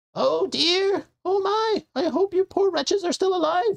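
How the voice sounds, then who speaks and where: This put-on character voice is extremely high, squeaky and raspy, delivered at a moderate pace. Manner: gushing, overly welcoming.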